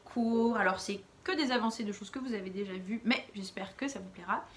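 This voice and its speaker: A woman with lively intonation against noticeable background noise. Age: 30s. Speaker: knitting podcaster. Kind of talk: casual chat. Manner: hesitant, many fillers.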